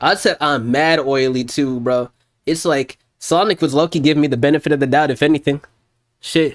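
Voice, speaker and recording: Fairly quick pace in a dry, close sound with no echo. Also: man, fairly high pitch for a man. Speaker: music producer streamer. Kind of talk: casual livestream chat. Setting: livestream. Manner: loud; animated.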